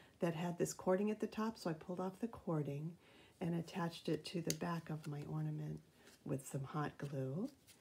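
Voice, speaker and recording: A woman's somewhat breathy voice carries lively intonation at a moderate speed. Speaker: craft video maker. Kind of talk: craft tutorial. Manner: casual, with many fillers.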